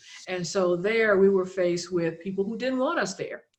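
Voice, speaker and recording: Woman with an American accent, a plain, everyday voice, medium pitch, fairly even intonation and a fairly quick pace. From US South, South Louisiana. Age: 60s. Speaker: author and health care administrator. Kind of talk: podcast interview, personal testimony.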